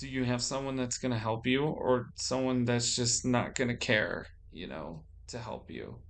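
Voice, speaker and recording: A man at a medium pitch speaks with ordinary pitch variation and big swings in loudness, with audible room echo. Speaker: vlogger. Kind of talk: personal monologue. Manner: slow; halting.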